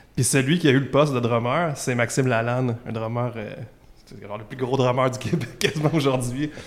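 Talking at a very fast pace with fairly even intonation, a man speaks in a Quebec accent. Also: big swings in loudness. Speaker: musician, bassist. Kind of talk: casual interview chat.

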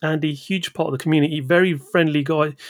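The recording is very clean with a silent background. It features an unremarkable speaking voice with fairly even intonation at a fairly quick pace. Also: man. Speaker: podcast host. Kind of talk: casual chat.

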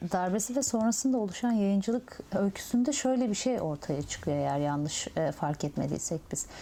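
Very wide pitch swings run through a dark, mellow tone. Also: woman, hardly any pauses. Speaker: interviewer. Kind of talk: oral history interview.

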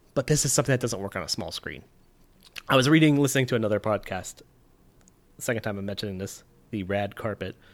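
A man with an American accent, medium pitch and ordinary pitch variation, talking at a very fast pace with long, frequent pauses, in a very clean recording with a silent background. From Nevada, US. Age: 30s. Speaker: film podcast co-host. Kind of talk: casual chat.

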